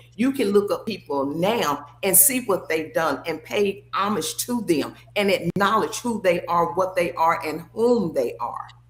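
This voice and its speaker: Over noticeable background noise, a woman speaks at a fairly slow pace with hardly any pauses, a medium pitch and lively intonation. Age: 60s. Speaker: former athlete and sports figure. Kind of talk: casual chat.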